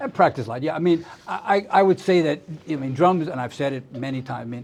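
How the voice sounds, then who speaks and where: Talking at a very fast pace with a New York accent, a man of fairly high pitch uses ordinary pitch variation while his loudness swings widely. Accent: American (New York). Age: 70s. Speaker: drummer and music teacher. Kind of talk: interview. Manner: halting, many repetitions.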